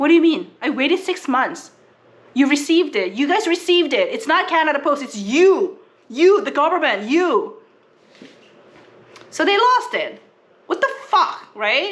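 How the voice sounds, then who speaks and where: A woman speaks at an extremely high pitch with very wide pitch swings. Her pace is moderate, broken by long, frequent pauses. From South Korea. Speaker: family travel vlogger. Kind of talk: casual vlog chat.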